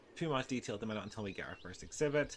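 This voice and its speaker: A man speaks with a Northern Irish accent. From Northern Ireland. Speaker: video game content creator. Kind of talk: gameplay commentary. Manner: hesitant, many fillers.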